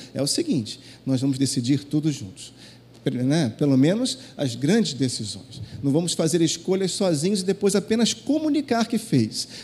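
Speaking at a moderate pace, a man with fairly high pitch and a dark, mellow, somewhat breathy tone makes very wide pitch swings. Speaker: pastor. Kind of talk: sermon. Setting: church.

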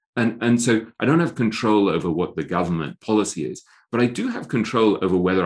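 A man's fairly low voice with an English accent, lively intonation and a fairly quick pace against a quiet background. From England. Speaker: author and investing writer. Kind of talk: podcast interview. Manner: self-deprecating, animated storyteller.

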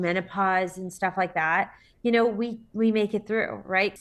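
Against a quiet background, a woman with a normal speaking voice talks at a moderate pace and medium pitch, with fairly even intonation. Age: 40s. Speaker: entrepreneur. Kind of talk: interview.

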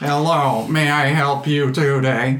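A man uses a put-on character voice with a fairly high pitch. It stays monotone and flat at a fairly slow pace. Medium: actual play. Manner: polite, formal.

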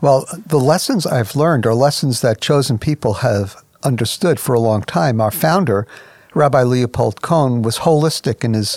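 A man speaks at a moderate pace with lively intonation. He has an ordinary speaking voice at a medium pitch. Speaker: ministry president and radio host. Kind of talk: radio program host.

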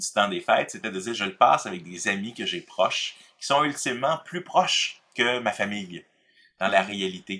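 A man speaks in a Quebec accent at a medium pitch with a bright, sharp tone. His pitch swings very widely. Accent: Québécois French. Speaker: pastor and author. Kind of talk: casual conversation.

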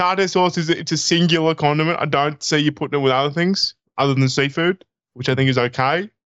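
A man talks at a very fast pace with an Australian accent. His fairly high voice holds very even loudness and fairly even intonation. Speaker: podcast co-host and comedian. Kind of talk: casual chat.

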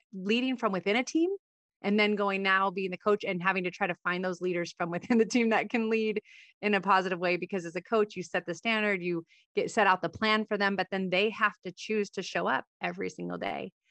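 A woman at a medium pitch with a normal speaking voice, fairly even intonation and a fairly quick pace, in a dry, close sound with no echo and a quiet background. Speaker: podcast host and former Olympic softball player. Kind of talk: interview.

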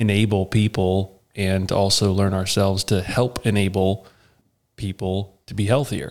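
A man talks at a fairly slow pace and a fairly low pitch, with monotone, flat intonation. The recording is very clean, with a silent background. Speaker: co-host agronomist. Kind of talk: casual interview.

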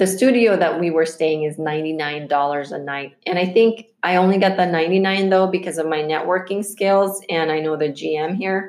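This woman has an ordinary speaking voice, fairly low in pitch with ordinary pitch variation, moving at a fairly slow pace with hardly any pauses. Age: 40s. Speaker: podcast host and entrepreneur. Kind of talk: casual interview and monologue.

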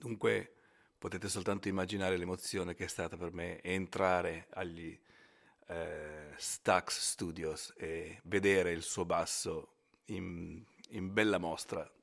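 In a very clean recording with a silent background, a man with a very deep, low pitch speaks very slowly in a flat monotone, leaving long, frequent pauses. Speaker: bass player. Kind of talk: recorded testimony.

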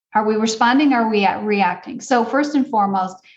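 With an American accent, the speaker's voice comes across as somewhat breathy. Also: woman. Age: 50s. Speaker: parenting coach and author. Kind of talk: interview.

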